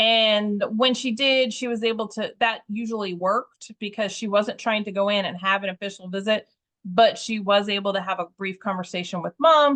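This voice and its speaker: A woman speaks in an ordinary speaking voice, fairly high in pitch. Her pace is moderate, with hardly any pauses and fairly even intonation. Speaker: volunteer trainer. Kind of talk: training session. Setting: video call.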